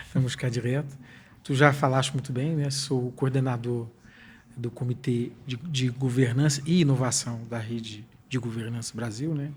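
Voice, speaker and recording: This man's voice is somewhat breathy and medium in pitch, with fairly even intonation at a moderate pace. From Brazil, lived most of life in Portugal. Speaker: technology consultant and professor. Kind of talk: podcast interview.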